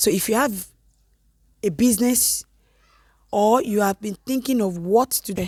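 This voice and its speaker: A woman with a fairly high pitch sounds animated and somewhat breathy, with ordinary pitch variation. She leaves long, frequent pauses. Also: moderate pace, dry, close sound with no echo. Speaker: vlogger. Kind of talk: tutorial.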